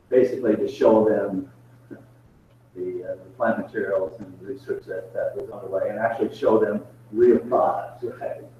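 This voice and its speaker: A man talks at a moderate pace with big swings in loudness. Noticeable background noise runs behind him. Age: 60s. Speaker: professor. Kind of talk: Q&A answer in online meeting. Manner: halting.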